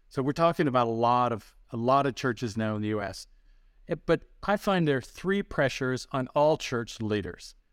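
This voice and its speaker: A man with an American accent and a plain, everyday voice speaks at a medium pitch and moderate pace with lively intonation, in a very clean recording with a silent background. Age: 60s. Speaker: pastor and ministry founder. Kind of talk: interview.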